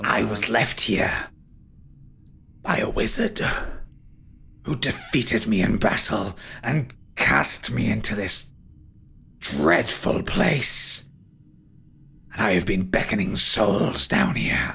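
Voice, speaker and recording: Raspy and fairly low-pitched, a man does a put-on character voice at a fairly slow pace with long, frequent pauses. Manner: taunting, menacing.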